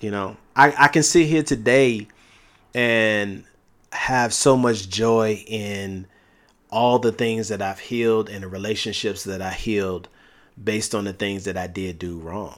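On a very clean recording with a silent background, a man speaks fairly slowly at a fairly low pitch with ordinary pitch variation and big swings in loudness. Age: 40s. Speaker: marriage podcast co-host. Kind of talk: casual chat.

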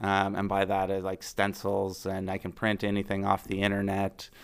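Speaking at a moderate pace and fairly low pitch, a man with a Maritime Canadian accent is heard on a very clean recording with a silent background. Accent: Canadian (Maritimes). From New Brunswick, Canada (Fredericton). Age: 40s. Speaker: small business owner, former plumber. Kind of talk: interview. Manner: casual, hesitant with fillers.

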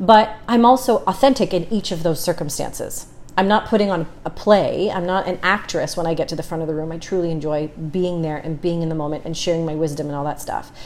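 A woman's plain, everyday voice, fairly low in pitch, at a fairly quick pace with hardly any pauses. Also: ordinary pitch variation. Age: 30s. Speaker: businesswoman and negotiator. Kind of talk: casual chat.

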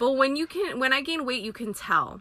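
Animated and bright with a sharp tone, a woman speaks in a Californian accent on a very clean recording with a silent background. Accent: Californian American. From San Francisco Bay Area, Filipino American family. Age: 30s. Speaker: podcast host, parent. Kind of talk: casual monologue. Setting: in a car.

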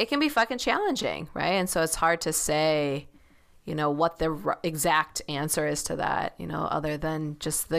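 A woman with a plain, everyday voice talks at a moderate pace, her fairly low pitch showing ordinary variation, on a very clean recording with a silent background. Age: 30s. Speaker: tarot reader and dream worker. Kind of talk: interview conversation.

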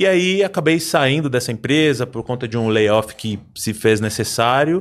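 A man's pitch leaps very widely across a silent background on a very clean recording. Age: 40s. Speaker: insurance broker. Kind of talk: casual chat.

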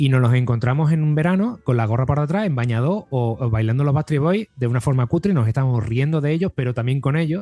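A man at a very fast pace and medium pitch, with hardly any pauses, ordinary pitch variation and very even loudness. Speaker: podcast host. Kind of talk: casual chat.

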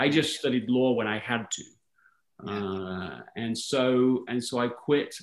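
A man is speaking. He has an English accent. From England, London. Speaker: author and speaker. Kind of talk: interview conversation.

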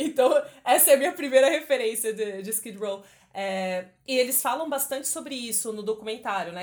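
A woman with a normal speaking voice talks at a moderate pace, her pitch fairly high with ordinary variation. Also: very clean recording, silent background. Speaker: podcast host. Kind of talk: casual chat.

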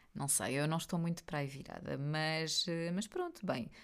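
A woman speaks with a European Portuguese accent in a very deep, low voice. Her pace is moderate and her pitch varies in an ordinary way. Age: 40s. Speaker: podcast host. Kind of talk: casual chat. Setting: home office studio.

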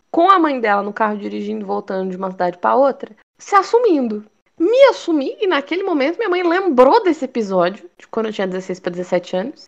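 Her pitch is high, and she moves through very wide pitch swings. The woman speaks at a fairly quick pace. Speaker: podcast co-host. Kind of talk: casual chat.

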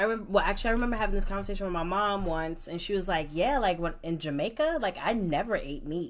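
Barely pausing, a woman in a New York accent talks at a very fast pace with a medium pitch and lively intonation. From New York, Brooklyn. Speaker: podcast co-host. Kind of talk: casual chat.

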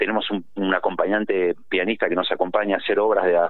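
A man at a moderate pace. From Argentina, Tucumán. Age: 50s. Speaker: musician, trumpet player. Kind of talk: phone interview. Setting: phone call.

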